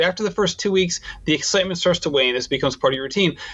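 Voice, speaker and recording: Amid noticeable background noise, a man with a high pitch talks at a very fast pace. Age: 40s. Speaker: running podcast host. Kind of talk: interview.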